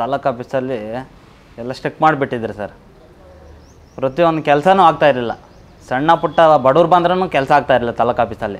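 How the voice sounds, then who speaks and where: A man with a fairly high pitch and ordinary pitch variation uses an ordinary speaking voice. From India, Karnataka, Chikkaballapur district village; Karnataka. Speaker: villager giving testimonial; interviewee. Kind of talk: vox-pop testimonial to camera. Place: street.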